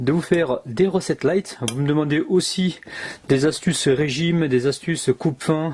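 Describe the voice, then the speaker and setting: Speaking with a southwestern French accent, a man has a dark, mellow tone, a fairly high pitch, and ordinary pitch variation. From southwest France (Gers). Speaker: cooking video host. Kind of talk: cooking tutorial. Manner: animated.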